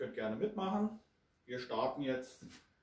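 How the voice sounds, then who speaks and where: A man speaks at a fairly slow pace, his pitch swinging very widely. His voice is somewhat breathy with a dark, mellow tone, and room echo is audible. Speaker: teacher, dance trainer. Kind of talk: tutorial. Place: empty room. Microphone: camera far.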